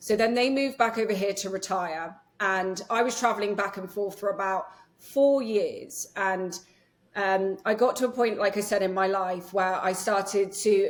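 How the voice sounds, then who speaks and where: A woman with an English accent and fairly even intonation. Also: medium pitch for a woman, moderate pace. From England. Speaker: nervous system healer and yoga teacher. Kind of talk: podcast interview. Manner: casual with many fillers.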